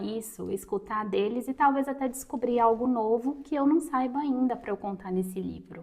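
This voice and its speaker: This is an unremarkable speaking voice, moving at a moderate pace with ordinary pitch variation. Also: woman. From Brazil, interior of Minas Gerais. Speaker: writing and reading content creator. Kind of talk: tutorial.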